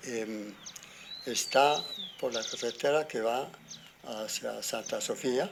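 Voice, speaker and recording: Over noticeable background noise, a man at medium pitch speaks at a very slow pace, leaving long, frequent pauses, with ordinary pitch variation. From Colombia, rural Boyacá (Arcabuco). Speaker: farmer. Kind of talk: interview. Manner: halting.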